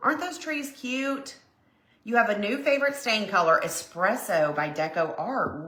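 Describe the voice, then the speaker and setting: A woman talks at a fairly slow pace with very wide pitch swings. Room echo is audible. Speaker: crafting livestream host. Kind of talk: casual craft livestream chat. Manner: chatty, conversational.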